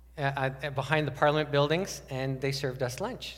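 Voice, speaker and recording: There is audible room echo as a man with a fairly high pitch speaks with vocal fry. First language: French. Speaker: pastor. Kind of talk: sermon.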